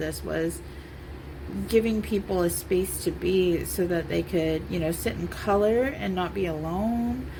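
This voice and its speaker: There is noticeable background noise and audible room echo. Through it, a woman speaks. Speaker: art therapy coloring channel host. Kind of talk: casual chat while coloring. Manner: halting, repetitive and unscripted.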